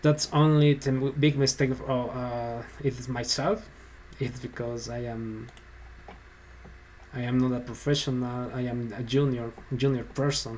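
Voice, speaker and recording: A man with a Spanish accent talks at a fairly slow pace in a medium pitch, his intonation fairly even, with long, frequent pauses. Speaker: software developer, tutorial YouTuber. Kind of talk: tutorial. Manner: halting, hesitant.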